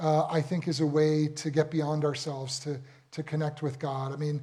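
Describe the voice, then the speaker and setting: A man with an American accent, a fairly high pitch and a moderate pace. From United States. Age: 60s. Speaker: rabbi. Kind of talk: talk to a live audience. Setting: room with audience. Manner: hesitant, many fillers and repeats.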